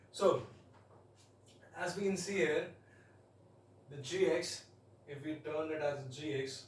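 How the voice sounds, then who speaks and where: With audible room echo, a man speaks at a fairly high pitch in an Indian accent. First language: Hindi. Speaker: math tutor. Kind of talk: tutorial. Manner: halting. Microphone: quiet, voice not very audible.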